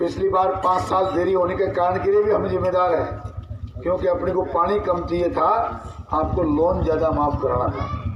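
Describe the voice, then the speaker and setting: The tone is animated and the loudness stays very even. There is audible room echo and noticeable background noise. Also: man, high pitch for a man. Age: 60s. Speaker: politician. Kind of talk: political rally speech. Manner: animated, rhetorical.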